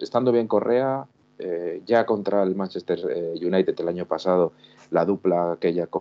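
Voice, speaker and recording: This man's voice is very deep and low. He speaks at a fairly slow pace. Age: 40s. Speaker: football fan commentator. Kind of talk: casual chat. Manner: halting. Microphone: echo.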